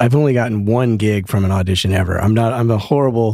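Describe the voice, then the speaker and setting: Fairly even in intonation, the speech moves at a very fast pace on a very clean recording with a silent background. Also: man. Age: 50s. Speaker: podcast host and bassist. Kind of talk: casual interview chat.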